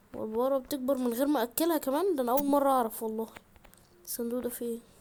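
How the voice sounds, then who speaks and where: A woman's quiet, animated, high-pitched voice with an Egyptian accent at a very fast pace. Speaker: gaming YouTuber. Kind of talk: gameplay commentary. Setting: at home. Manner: quiet, subdued; animated, exclamatory.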